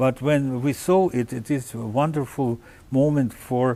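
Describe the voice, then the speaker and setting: Speaking at a fairly slow pace with a Russian accent, a man uses a medium pitch and a dark, mellow tone. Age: 70s. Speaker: orchestra conductor. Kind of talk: interview. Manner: halting, many fillers.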